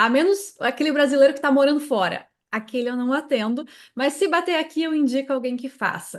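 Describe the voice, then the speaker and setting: Against a quiet background, a woman with a southern Brazilian accent talks at a fairly quick pace in a high pitch. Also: ordinary pitch variation. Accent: southern Brazilian accent, noticeable. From Brazil, Santa Catarina. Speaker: tax consultant and teacher. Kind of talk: interview.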